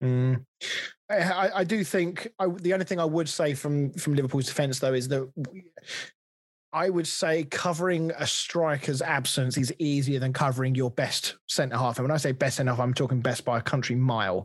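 This man has an English accent and a fairly high pitch. His loudness stays very even at a moderate pace. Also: ordinary pitch variation. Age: 30s. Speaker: football podcast host. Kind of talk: casual chat.

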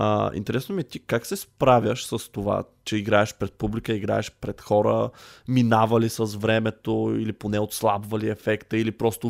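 The speech has monotone, flat intonation at a moderate pace, with a dry, close sound and no echo. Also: man, very clean recording, silent background. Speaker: podcast host. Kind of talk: casual chat.

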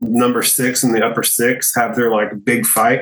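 At a medium pitch, a man talks with an American accent. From Texas (small town). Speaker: podcaster, studio owner. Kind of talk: casual chat.

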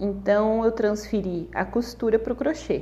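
Vocal fry marks this woman's dark, mellow voice at medium pitch as she speaks at a fairly slow pace. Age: 30s. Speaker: crochet artisan and podcaster. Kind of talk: personal storytelling monologue. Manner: casual, chatty.

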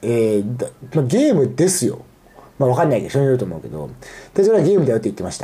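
Pitch swinging very widely, a man rattles along at a very fast pace. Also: medium pitch for a man. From Aichi, Japan. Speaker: podcast host. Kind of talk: casual solo monologue. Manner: halting, many fillers.

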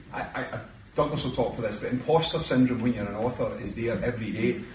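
A man at medium pitch talking at a very fast pace, with ordinary pitch variation, over noticeable background noise. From Glasgow, Scotland. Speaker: crime writer, workshop leader. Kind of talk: casual chat. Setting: Spain, bar and villa.

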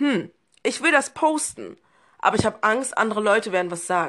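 This woman has a fairly high voice and speaks at a moderate pace. Her pitch swings very widely. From Berlin, Germany. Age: 20s. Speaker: podcast guest. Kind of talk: casual chat.

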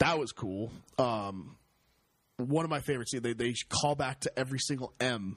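A plain, everyday voice shows ordinary pitch variation while keeping a moderate pace. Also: man, medium pitch for a man. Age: 20s. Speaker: movie podcast co-host. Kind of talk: casual chat.

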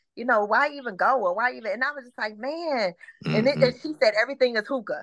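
A woman with an unremarkable speaking voice and an American accent talks at a fairly quick pace, in a dry, close sound with no echo. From Detroit, Michigan. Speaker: podcast guest, former Freaknik attendee. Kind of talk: casual chat.

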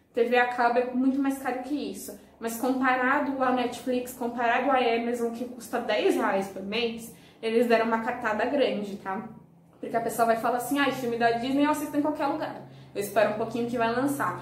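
There is noticeable background noise and audible room echo as a woman speaks. Her high-pitched voice moves at a moderate pace with fairly even intonation. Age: 20s. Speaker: YouTuber. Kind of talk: casual vlog review.

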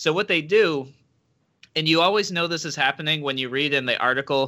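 A man with a high pitch and bright, sharp tone, at a moderate pace with ordinary pitch variation. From Rochester, Western New York, US. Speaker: libertarian political candidate. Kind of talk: interview. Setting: video call.

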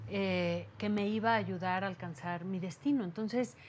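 A woman's somewhat breathy voice at medium pitch, at a moderate pace. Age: 40s. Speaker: therapist and meditation teacher. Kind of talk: interview testimony. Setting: her office. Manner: calm, soothing.

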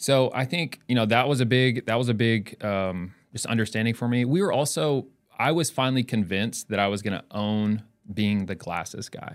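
Here is a man with a plain, everyday voice and an American accent. He talks at a medium pitch and moderate pace with ordinary pitch variation. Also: very clean recording, silent background. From North Carolina and northeast Ohio. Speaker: optical shop owner. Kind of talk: casual interview. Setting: studio.

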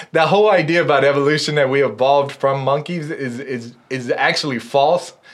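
Over noticeable background noise, a man talks fairly quickly at a fairly high pitch with ordinary pitch variation and hardly any pauses. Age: 30s. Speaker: atheist guest. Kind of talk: casual chat.

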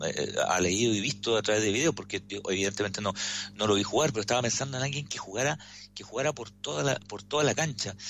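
The words come at a very fast pace, with ordinary pitch variation. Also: man. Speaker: sports commentator. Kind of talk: radio sports commentary.

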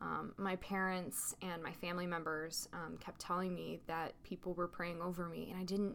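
A woman with an American accent talks at a moderate pace. She has an unremarkable speaking voice at medium pitch. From US South, Little Rock, Arkansas. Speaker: faith podcast host. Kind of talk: testimony.

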